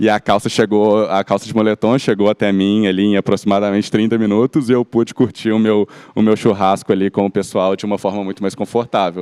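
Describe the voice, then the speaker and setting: A man's fairly low, dark, mellow voice in a Minas Gerais accent, monotone and flat, fairly quick with hardly any pauses, dry and close with no echo over a quiet background. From Minas Gerais, Belo Horizonte. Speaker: company executive. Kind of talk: panel discussion. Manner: halting.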